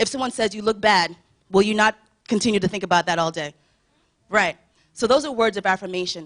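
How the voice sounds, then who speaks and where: Talking at a very fast pace broken by long, frequent pauses, a woman uses a medium pitch with ordinary pitch variation. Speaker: church youth speaker. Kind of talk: sermon.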